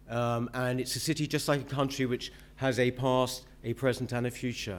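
This is a man talking at a moderate pace. His pitch lands in the medium range. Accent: London. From southeast London, Woolwich; London. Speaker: mayoral candidate; candidate. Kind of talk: political debate speech. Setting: stage with audience. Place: hall. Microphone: podium.

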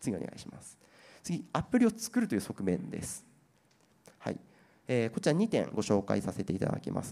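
A man talks at a fairly quick pace with long, frequent pauses. His loudness swings widely. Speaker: IT company presenter on generative AI trends; presenter. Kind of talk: seminar presentation and panel discussion. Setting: seminar hall with audience at an expo. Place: hall. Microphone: handheld.

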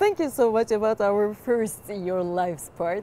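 With a Turkish accent and a dark, mellow tone, the speaker goes at a fairly slow pace with ordinary pitch variation, in a dry sound with no echo and light background noise. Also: woman. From Turkey. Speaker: interviewer. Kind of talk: interview. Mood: warm, cheerful. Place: studio. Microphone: lapel.

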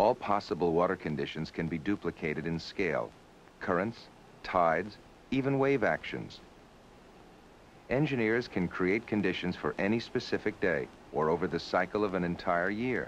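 Over light background noise, a man with a very deep, low pitch speaks at a moderate pace with lively intonation and long, frequent pauses. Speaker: documentary narrator. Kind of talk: documentary narration.

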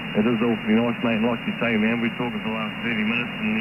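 Amid loud background noise, a man talks at a very fast pace with monotone, flat intonation. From New Zealand, South Island; New Zealand. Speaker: CB radio operator. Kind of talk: casual chat. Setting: radio transmission. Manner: halting. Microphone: two way radio.

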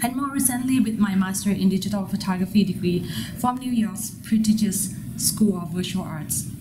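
Woman with a Thai accent over noticeable background noise. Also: medium pitch for a woman, ordinary pitch variation, moderate pace. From Thailand. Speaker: MFA photography student. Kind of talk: prepared artist statement.

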